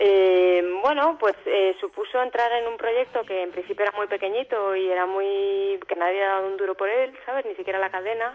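A woman at medium pitch with ordinary pitch variation, an ordinary speaking voice, a moderate pace and hardly any pauses. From Alicante, Spain. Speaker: actress and singer. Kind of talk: interview.

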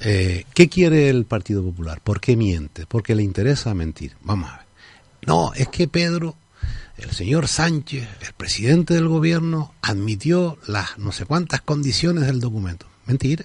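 A man's somewhat breathy voice at a medium pitch, swinging very widely in pitch at a fairly slow pace. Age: 50s. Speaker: politician. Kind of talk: radio interview. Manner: halting.

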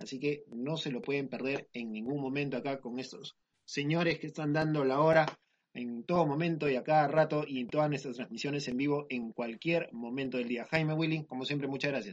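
Fairly high in pitch for a man, this a normal speaking voice carries fairly even intonation. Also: fairly quick pace. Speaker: podcast host. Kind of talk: casual chat.

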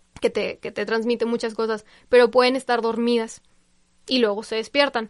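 Over a quiet background, a woman with a fairly high pitch speaks at a moderate pace. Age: 20s. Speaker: communications worker in education, Lyme disease patient. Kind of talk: interview.

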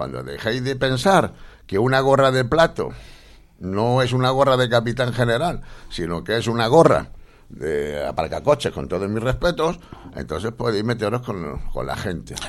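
A man's voice with vocal fry swings very widely in pitch as he talks at a moderate pace. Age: 40s. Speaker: radio host. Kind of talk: radio interview and political chat.

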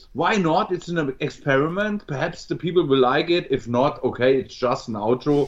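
Lively intonation in a German accent at a moderate pace, with hardly any pauses. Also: man, fairly high pitch for a man. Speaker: metal musician. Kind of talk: interview. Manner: halting.

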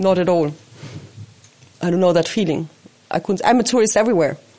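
There is noticeable background noise as a woman with a fairly low pitch speaks with ordinary pitch variation. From Austria, Switzerland and Spain. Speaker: house and animal caretaker. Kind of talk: casual house tour and personal story. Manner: halting, with repetitions.

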